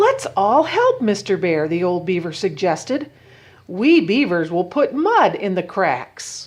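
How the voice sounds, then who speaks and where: Using a put-on character voice, a woman speaks at a fairly slow pace. Her medium pitch swings very widely. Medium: read story.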